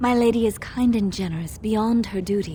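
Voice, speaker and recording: Amid clear background noise, a female-sounding voice performs a put-on character voice at a fairly high pitch and a moderate pace. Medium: video game. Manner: proper, reproving.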